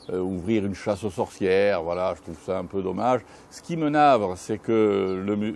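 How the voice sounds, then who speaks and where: A man's fairly low voice at a moderate pace, with big swings in loudness and ordinary pitch variation. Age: 60s. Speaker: former mayor. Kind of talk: interview. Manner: hesitant, many fillers.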